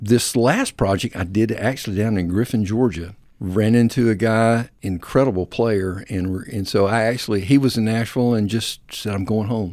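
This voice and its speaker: A Southern US accent at a moderate pace, with fairly even intonation and hardly any pauses, on a very clean recording with a silent background. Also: man, fairly low pitch for a man. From US South (South Alabama, North Florida). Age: 60s. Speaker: singer-songwriter and church worship minister. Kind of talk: casual interview.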